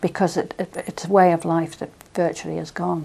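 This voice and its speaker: A woman with a Manx accent, talking at a very fast pace. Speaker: interviewee. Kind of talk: oral history interview.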